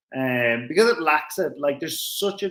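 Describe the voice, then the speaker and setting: A man with an Irish accent. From Ireland, Dublin area. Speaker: racing driver. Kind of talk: casual chat. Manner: animated.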